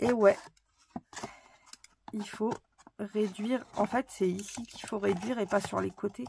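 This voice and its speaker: A woman's medium-pitched voice at a fairly slow pace, with fairly even intonation and long, frequent pauses. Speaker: craft tutorial youtuber. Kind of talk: tutorial. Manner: casual, chatty with fillers.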